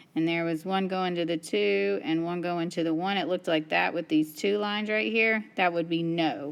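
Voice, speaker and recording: An unremarkable speaking voice from a woman, fairly low in pitch, with lively intonation, a moderate pace and hardly any pauses. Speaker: math teacher. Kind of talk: tutorial.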